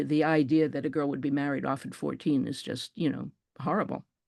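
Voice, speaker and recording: Against a quiet background, a woman with vocal fry talks at a fairly quick pace. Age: 70s. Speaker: author and photographer. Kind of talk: interview. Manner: halting.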